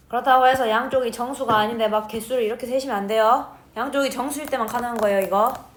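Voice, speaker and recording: A woman talks at a very fast pace in a high voice, with hardly any pauses. Her intonation is fairly even, and the room echo is audible. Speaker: math teacher. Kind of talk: lecture.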